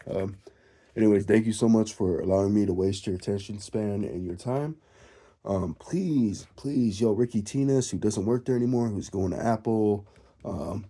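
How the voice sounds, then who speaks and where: With a dark, mellow tone and fairly low pitch, a man speaks at a moderate pace using ordinary pitch variation. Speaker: music gear enthusiast. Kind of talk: casual vlog monologue. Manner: casual, rambling with fillers.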